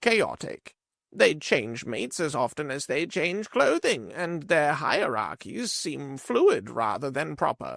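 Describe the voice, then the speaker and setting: A put-on character voice at a fairly slow pace. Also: man, fairly high pitch for a man. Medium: read story. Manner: slow, searching for words.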